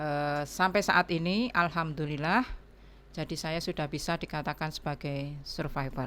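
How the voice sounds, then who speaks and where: A woman with a very deep, low pitch speaks at a moderate pace with ordinary pitch variation, in a very clean recording with a silent background. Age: 60s. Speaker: breast cancer survivor, foundation organizer. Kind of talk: podcast interview.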